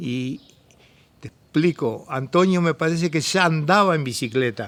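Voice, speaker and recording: A man speaks at a fairly slow pace with an Argentine Litoral accent, his tone bright and sharp and his pitch varying in an ordinary way. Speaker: former cyclist. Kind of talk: interview testimony.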